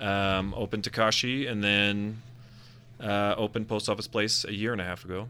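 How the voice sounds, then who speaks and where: Speaking at a moderate pace in an American accent, a man delivers a bright, sharp tone that is fairly low-pitched for a man, his intonation monotone and flat. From Utah. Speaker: restaurant and bar owner. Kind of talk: radio interview.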